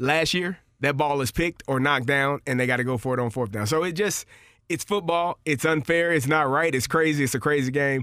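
Over a very clean, silent background, a man with a fairly high pitch speaks fairly quickly in a bright, sharp tone, with very even loudness and ordinary pitch variation. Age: 40s. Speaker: former NFL player, football podcast co-host. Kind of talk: casual sports chat.

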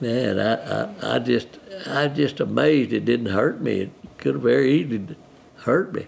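Moderately paced speech from a man, with noticeable background noise. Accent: West Texas. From West Texas. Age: 80s+. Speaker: retiree and football fan. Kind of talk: interview.

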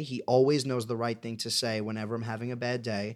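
A man talks fairly quickly, in an unremarkable speaking voice. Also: very clean recording, silent background. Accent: American. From New York, Staten Island. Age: 20s. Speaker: Broadway actor and podcast co-host. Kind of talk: casual chat.

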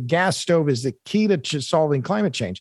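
Heard on a very clean recording with a silent background, a man with an American accent talks fairly quickly in an ordinary speaking voice with lively intonation. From Oklahoma, US (Tulsa). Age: 60s. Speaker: journalist and author. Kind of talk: interview.

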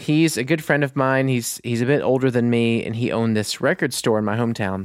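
In an American accent, an unremarkable speaking voice talks at a moderate pace with ordinary pitch variation. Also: man. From US South (Mississippi, Louisiana). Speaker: musician. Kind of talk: casual chat.

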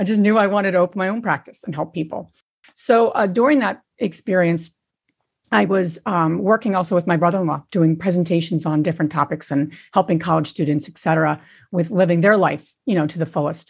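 Against a quiet background, a woman with an unremarkable speaking voice talks fairly quickly at a fairly low pitch, with ordinary pitch variation. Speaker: co-founder of a real estate community and podcast. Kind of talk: interview about real estate.

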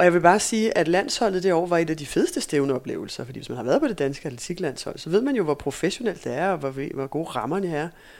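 On a very clean recording with a silent background, a woman with a fairly low pitch speaks at a very fast pace with lively intonation. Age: 40s. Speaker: former sprinter and running coach. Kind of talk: casual interview. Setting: in person recording.

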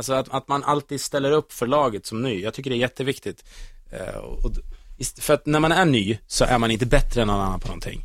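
Captured with a dry, close sound and no echo, a man talks at a very fast pace in a medium pitch. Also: ordinary pitch variation. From central Sweden, Västmanland (Kolsva near Köping). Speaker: radio host. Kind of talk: casual chat.

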